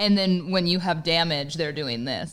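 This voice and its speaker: A woman talks at a very fast pace. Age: 30s. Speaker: radio host. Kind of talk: casual chat.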